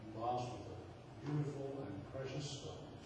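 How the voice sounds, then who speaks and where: A man amid strong room echo and noticeable background noise. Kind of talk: wedding ceremony address. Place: church. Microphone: camera far.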